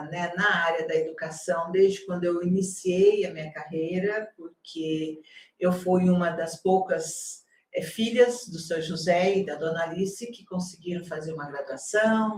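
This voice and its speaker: A woman with an unremarkable speaking voice, fairly low in pitch and fairly slow, her intonation fairly even but her loudness swinging widely. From Brazil, Paraná (near Maringá). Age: 60s. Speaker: university campus director, nurse by training. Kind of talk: interview.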